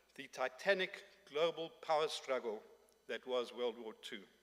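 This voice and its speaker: A man's fairly high voice with ordinary pitch variation at a moderate pace. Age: 60s. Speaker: conference speaker. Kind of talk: conference speech. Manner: formal.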